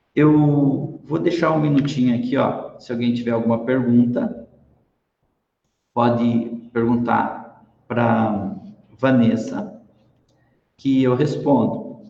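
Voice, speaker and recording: A man at a medium pitch, very slow pace and long, frequent pauses, with audible room echo. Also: ordinary pitch variation. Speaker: lecturer / business speaker. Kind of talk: online talk. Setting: live stream.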